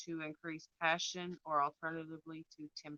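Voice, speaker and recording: A soft-spoken woman with a fairly low pitch, at a fairly slow pace. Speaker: tarot and rune reader. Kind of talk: spiritual reading with live chat. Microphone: too quiet.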